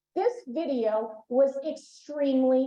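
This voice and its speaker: Speaking with a Boston accent, a woman with a high pitch shows ordinary pitch variation. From Boston, Massachusetts. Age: middle-aged. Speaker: emergency management expert, conference speaker. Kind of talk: conference presentation. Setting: conference room with live and remote audience.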